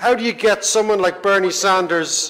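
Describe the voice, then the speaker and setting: A man speaks with an Irish accent at a high pitch. There is noticeable background noise. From Ireland, Dublin. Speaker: economist, panel moderator. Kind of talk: panel moderation speech. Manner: animated.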